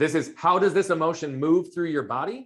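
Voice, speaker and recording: A man speaks loudly on a very clean recording with a silent background. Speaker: performance coach. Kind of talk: interview. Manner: fast.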